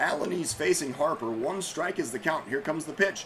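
A fairly high-pitched man with lively intonation at a moderate pace, over noticeable background noise. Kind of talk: live sports commentary.

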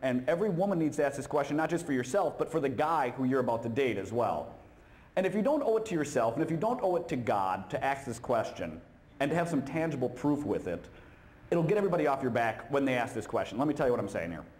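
A fairly high-pitched man at a very fast pace with lively intonation. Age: 30s. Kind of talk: humorous talk at a conference. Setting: stage with audience. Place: hall. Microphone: handheld.

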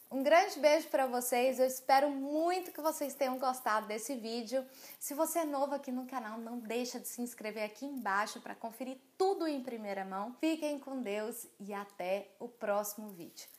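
A high-pitched woman at a moderate pace, with big swings in loudness and hardly any pauses. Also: lively intonation. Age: 20s. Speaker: lifestyle youtuber. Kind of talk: casual vlog. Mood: warm, cheerful.

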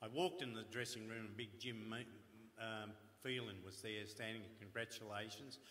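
A man talks at a moderate pace with an Australian accent. His pauses are long and frequent. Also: medium pitch for a man, ordinary pitch variation. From Melbourne, Australia. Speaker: retired footballer. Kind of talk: anecdotal storytelling. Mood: humorous storytelling. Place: stage.

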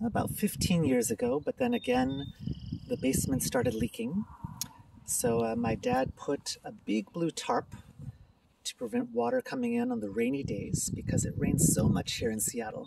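The speech moves at a moderate pace, with a dry sound free of echo and noticeable background noise. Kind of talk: casual house tour narration. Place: garden. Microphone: phone near.

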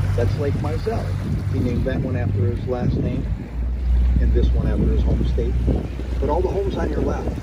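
Loud background noise accompanies a man speaking at a fairly quick pace. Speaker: tour boat guide. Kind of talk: tour guide commentary. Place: boat.

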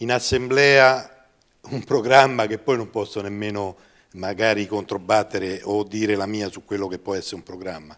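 Against a quiet background, a man speaks at a moderate pace and fairly low pitch with ordinary pitch variation. His loudness swings a lot, and long pauses come often. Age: 50s. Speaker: amateur football club director; guest. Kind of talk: interview; interview answer. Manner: halting. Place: studio. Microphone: lapel.

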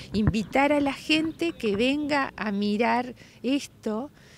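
A woman's voice comes through dry with no echo, set against noticeable background noise. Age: 60s. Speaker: restoration project leader. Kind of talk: interview. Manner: animated. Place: street.

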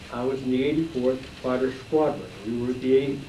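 At a moderate pace, a man of medium pitch talks with ordinary pitch variation, audible room echo and light background noise. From Utah. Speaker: war veteran. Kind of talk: talk to audience. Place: classroom.

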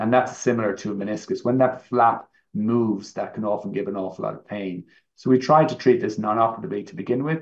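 The speaker goes at a very fast pace, with ordinary pitch variation. Loudness swings widely against a quiet background. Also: man. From Ireland. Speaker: orthopaedic knee surgeon, professor; professor. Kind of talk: medical presentation. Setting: online live event. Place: home room. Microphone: webcam.

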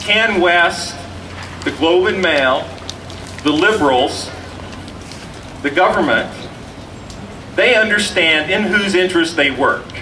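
Over noticeable background noise, a man with a high-pitched, raised and projected voice speaks at a very slow pace. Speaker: rally emcee and education academic. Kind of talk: rally speech. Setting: outdoor rally with audience. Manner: hesitant, searching for words.

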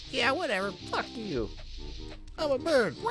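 A man's put-on character voice at an extremely high pitch, with loud music in the background. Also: moderate pace. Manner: abrasive, dismissive.

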